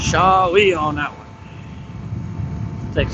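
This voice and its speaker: A man shouting with fairly even intonation over noticeable background noise. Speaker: motorcycle vlogger. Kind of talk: casual vlog narration while riding. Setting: on a motorcycle on the highway. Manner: loud, near yelling over wind.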